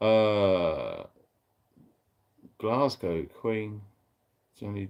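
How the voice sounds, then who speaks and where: A man talks with a fairly low pitch and fairly even intonation on a very clean recording with a silent background. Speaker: livestream host, prepper. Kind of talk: casual chat. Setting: livestream.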